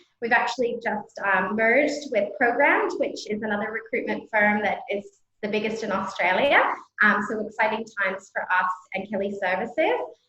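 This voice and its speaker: A woman's fairly high-pitched voice with music in the background. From Canada. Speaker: scientific recruitment consultant. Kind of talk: panel introduction.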